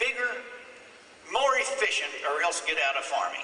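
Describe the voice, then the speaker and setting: A man speaks with a Midwestern US accent and very wide pitch swings. Noticeable background noise and audible room echo fill the recording. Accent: rural Midwestern American. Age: 70s. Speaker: farmer and speaker. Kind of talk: conference speech.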